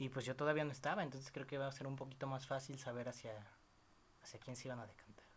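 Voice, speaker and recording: A man with a Mexican accent talks in a monotone, flat intonation. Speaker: podcast host. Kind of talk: casual chat. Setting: girlfriend's apartment.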